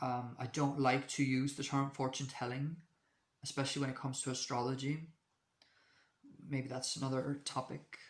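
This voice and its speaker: At a moderate pace, a man with a medium-pitched voice speaks in a flat monotone, leaving long, frequent pauses. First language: not English. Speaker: astrology video creator. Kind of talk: casual monologue to camera. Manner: halting, many fillers and restarts.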